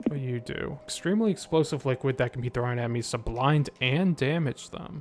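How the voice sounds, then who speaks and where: Noticeable background noise behind a man speaking at a fairly quick pace. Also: medium pitch for a man, ordinary pitch variation. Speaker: video game streamer. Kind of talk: live gameplay commentary. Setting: live stream.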